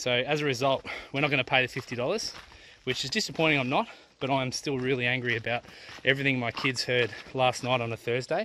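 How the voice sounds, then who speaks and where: Speaking at a fairly quick pace with fairly even intonation, a man is heard in a dry recording with no echo and light background noise. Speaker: family travel vlogger. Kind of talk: casual vlog chat. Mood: disappointed, somewhat angry. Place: open country. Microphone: phone near.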